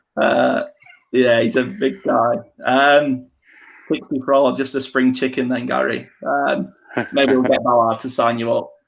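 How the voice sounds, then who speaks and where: Speaking with an English accent, a man takes a fairly slow pace. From England. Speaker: podcast host. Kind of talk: casual chat. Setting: live stream.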